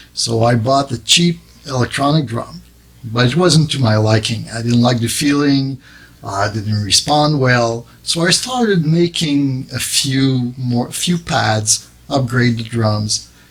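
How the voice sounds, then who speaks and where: A man speaks at a fairly slow pace with a French accent, his pitch medium and its variation ordinary. Noticeable background noise sits behind him. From Quebec, Montreal suburb. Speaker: drum maker and business owner. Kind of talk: interview. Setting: studio. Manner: halting.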